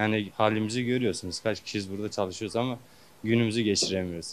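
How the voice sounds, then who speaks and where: A man speaks at a very fast pace with a fairly low pitch and fairly even intonation. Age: young. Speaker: worker interviewed in street poll. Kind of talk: vox pop interview.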